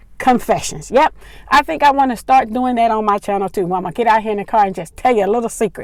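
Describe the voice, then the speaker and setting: The woman speaks fairly quickly, her pitch fairly high. Her pitch moves in an ordinary way. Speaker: vlogger. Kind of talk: casual vlog monologue. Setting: in a car. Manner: stumbles over words.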